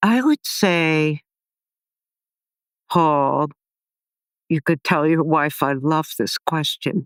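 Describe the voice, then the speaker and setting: A woman with a very deep, low pitch speaks very slowly, with ordinary pitch variation, very even loudness and long, frequent pauses, in a dry, close sound with no echo and a very clean recording with a silent background. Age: 70s. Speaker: author and empowerment teacher. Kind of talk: interview conversation.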